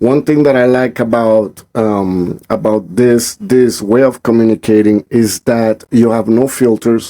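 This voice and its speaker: This man's dark, mellow voice holds a very even loudness and fairly even intonation, with a dry, close sound and no echo. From Colombia. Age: 40s. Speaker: podcast host. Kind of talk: casual chat. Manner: high energy.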